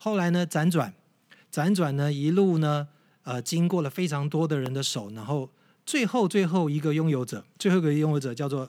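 A man's ordinary speaking voice, fairly high in pitch, with lively intonation at a moderate pace. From Taiwan, Yilan. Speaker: tour leader and guide. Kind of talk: casual interview chat, explaining history.

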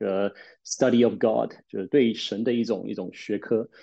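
A man is speaking. His tone is dark and mellow. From Taiwan, with secondary school and university in the UK. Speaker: pastor and theology teacher. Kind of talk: casual chat. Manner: hesitant, many filler sounds.

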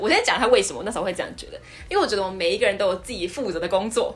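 Noticeable background noise sits behind a woman whose voice is at a medium pitch. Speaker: podcast host. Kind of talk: casual chat.

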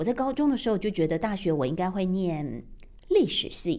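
A woman at a medium pitch speaks at a moderate pace, her pitch swinging very widely. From Taiwan. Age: 50s. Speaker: radio broadcaster. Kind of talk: personal podcast monologue.

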